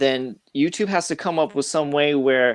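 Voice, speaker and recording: A man's fairly high voice with an American accent, an unremarkable speaking voice, ordinary pitch variation, and a dry, close sound with no echo. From Boston area, Massachusetts. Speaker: YouTuber, comics channel guest. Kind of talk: casual panel chat.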